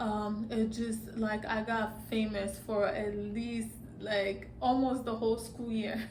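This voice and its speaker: Over noticeable background noise and audible room echo, a woman with a slight Nigerian accent speaks very slowly in a fairly high, monotone, flat voice. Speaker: vlogger. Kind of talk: casual vlog monologue. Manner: halting, many fillers.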